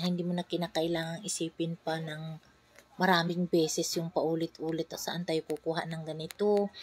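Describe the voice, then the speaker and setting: A woman's fairly low voice with a Visayan accent, at a moderate pace, in a dry, close sound with no echo. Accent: Visayan accent in Tagalog. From Visayas, Philippines. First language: Cebuano/Bisaya (speaking Tagalog). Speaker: vlogger, mother. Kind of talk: casual vlog talk.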